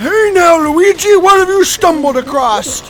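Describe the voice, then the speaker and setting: An extremely high, put-on character voice has a theatrical tone. Clear background noise is present. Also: moderate pace. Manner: excitable, theatrical.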